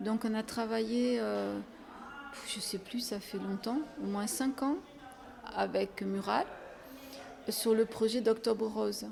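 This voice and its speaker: Speaking at a very slow pace, a woman leaves long, frequent pauses, her fairly high voice keeping a fairly even intonation. Noticeable background noise runs underneath. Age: 70s. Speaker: head of a women's association. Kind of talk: interview. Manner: hesitant, many fillers.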